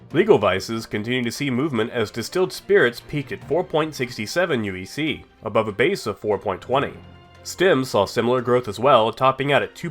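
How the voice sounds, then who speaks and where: A man at medium pitch over music in the background, with lively intonation, a fairly quick pace and hardly any pauses. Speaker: gaming news host. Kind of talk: scripted gaming market report narration.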